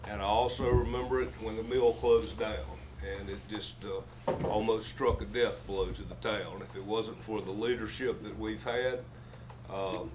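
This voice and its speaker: Amid noticeable background noise and audible room echo, a man speaks at a moderate pace, his loudness swinging widely. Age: 70s. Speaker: town council member. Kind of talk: public comment. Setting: county commissioners meeting.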